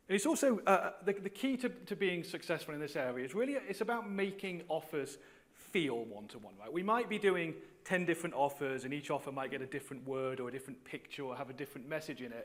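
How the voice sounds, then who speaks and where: A loud man, fairly high in pitch and very fast, with very wide pitch swings. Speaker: conference panel speaker, data executive. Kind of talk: conference talk. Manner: halting, many repetitions and fillers.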